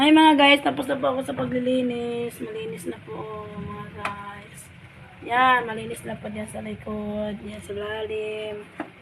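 A woman speaks at a fairly slow pace. Her loudness swings widely, and background noise is noticeable. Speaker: vlogger and food vendor. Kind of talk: casual vlog narration.

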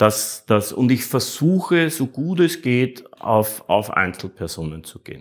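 Over a quiet background, a man speaks with lively intonation at a fairly slow pace. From Austria (Vienna). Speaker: artist, actor and streamer; actor, streamer. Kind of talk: interview. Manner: halting, many repetitions. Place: home room. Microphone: lapel.

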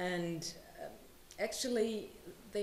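A woman speaks at a fairly slow pace, with noticeable background noise around her. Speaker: writer. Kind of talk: panel discussion. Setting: live event with audience. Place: hall. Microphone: podium.

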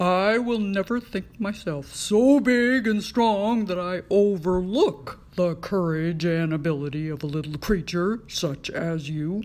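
A cartoonish character voice, female-sounding and middle-pitched, at a fairly slow pace over light background noise. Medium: puppet.

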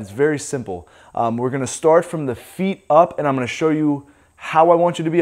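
The background is quiet. A man talks at a very fast pace. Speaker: fitness coach. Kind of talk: tutorial. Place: gym.

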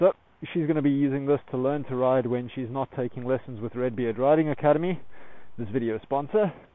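The voice belongs to a man. Pitch moves up and down in an ordinary way. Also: dry sound with no echo. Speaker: motorcycle vlogger. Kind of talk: casual vlog chat. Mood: relaxed and upbeat. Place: open country. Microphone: phone near.

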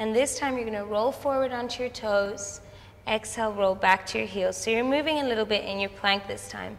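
The speaker keeps a moderate pace and a calm tone, with ordinary pitch variation. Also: woman. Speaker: Pilates instructor. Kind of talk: guided exercise class. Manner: calm, steady, encouraging; instructional, paced by breath, rhythmic cues.

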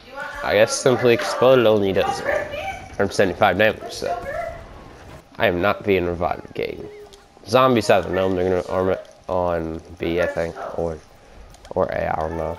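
A man speaks at a moderate pace, with long, frequent pauses. Noticeable background noise is present. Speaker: gaming YouTuber. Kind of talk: gameplay commentary. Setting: home recording, gameplay voiceover. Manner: casual, rambling with fillers.

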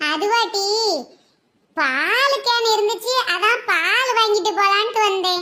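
In a cartoonish character voice pitched extremely high, a woman speaks at a very slow pace.

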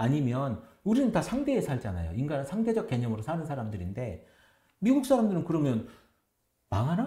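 At a fairly quick pace, a man with a dark, mellow, somewhat breathy tone makes very wide pitch swings, with audible room echo over a quiet background. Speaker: pastor. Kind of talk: casual chat. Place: studio.

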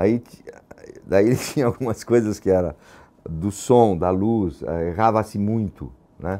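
The man's pitch is fairly low, with ordinary variation. He talks at a fairly slow pace and leaves long, frequent pauses. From São Paulo, Brazil (Lapa). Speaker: theatre actor and former activist. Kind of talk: testimony interview. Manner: halting, many repetitions and fillers.

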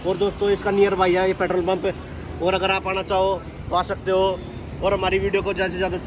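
Against noticeable background noise, a man with a high pitch speaks at a moderate pace in a flat, monotone delivery. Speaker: vlogger. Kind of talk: casual vlog chat. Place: street. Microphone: phone near.

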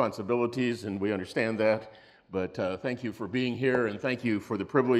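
Reading done in a natural voice

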